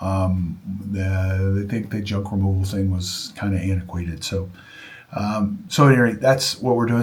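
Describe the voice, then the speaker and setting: A man speaks at a moderate pace amid audible room echo. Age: 60s. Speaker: junk removal business owner. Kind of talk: casual vlog monologue. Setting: home studio. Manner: halting, with many fillers and restarts.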